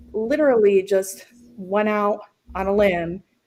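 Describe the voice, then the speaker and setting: This woman speaks with an American accent at a medium pitch. Her pitch varies in an ordinary way. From Central New York. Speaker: entrepreneur, former nurse. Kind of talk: podcast interview. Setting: video call from home kitchen. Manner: loud; animated.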